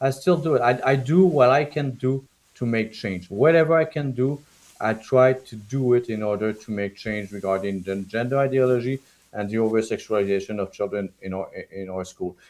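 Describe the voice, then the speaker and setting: At a moderate pace, a man speaks in a passionate tone with a strong French-Canadian accent. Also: medium pitch for a man, ordinary pitch variation. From Quebec, small town. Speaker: political candidate and parent activist. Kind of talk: interview on live stream. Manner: halting, repetitive.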